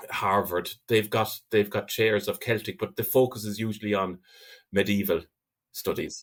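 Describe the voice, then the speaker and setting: In a very clean recording with a silent background, a man with an Irish accent speaks at a moderate pace in a fairly low voice, his intonation fairly even. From Ireland. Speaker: linguist and university lecturer. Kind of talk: interview conversation. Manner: hesitant, many repetitions.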